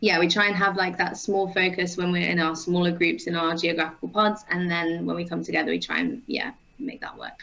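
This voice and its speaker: In an English Midlands accent, a woman speaks at a fairly quick pace with hardly any pauses, her voice fairly low with ordinary pitch variation. Noticeable background noise runs underneath. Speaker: ultimate frisbee player and strength coach. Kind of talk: casual interview. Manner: hesitant, many fillers.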